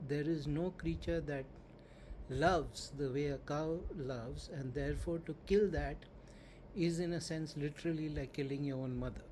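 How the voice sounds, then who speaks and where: A somewhat breathy, fairly high male voice with a dark, mellow tone, fairly even intonation, a moderate pace and audible room echo. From India. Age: 60s. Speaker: spiritual teacher. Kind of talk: lecture.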